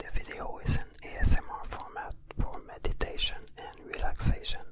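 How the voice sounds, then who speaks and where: The whispered speech moves at a moderate pace. Background noise is clearly noticeable. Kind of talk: ASMR spiritual narration.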